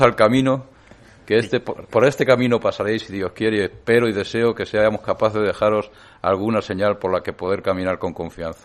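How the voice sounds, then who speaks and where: A plain, everyday voice, a man at medium pitch with ordinary pitch variation, fairly quick pace, over a quiet background. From Spain, Madrid region. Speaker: lay association president. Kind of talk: press conference statement. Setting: press conference room.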